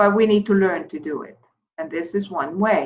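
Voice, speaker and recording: A woman's medium-pitched voice with an Icelandic accent and lively intonation. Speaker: therapy course instructor. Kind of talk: lecture. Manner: halting.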